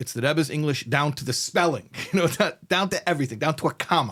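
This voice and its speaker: On a very clean recording with a silent background, a man with an American accent has a normal speaking voice, a fairly high pitch and lively intonation. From United States. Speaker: rabbi and podcast host. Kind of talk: casual interview conversation. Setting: studio.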